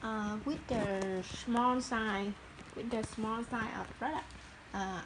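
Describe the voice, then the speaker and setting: With a Vietnamese accent, a woman speaks fairly slowly at a fairly high pitch and fairly even intonation, amid noticeable background noise. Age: 30s. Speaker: small business owner. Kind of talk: casual talk to camera, workshop tour. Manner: hesitant, halting non-native English.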